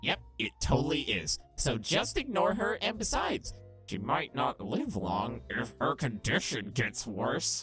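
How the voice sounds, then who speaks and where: A man's put-on character voice at a fairly slow pace, with faint music in the background. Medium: solo performance. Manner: sarcastic, crude, defensive.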